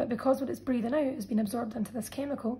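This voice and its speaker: A woman speaks in a high pitch. Her intonation stays fairly even. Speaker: biology teacher. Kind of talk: tutorial.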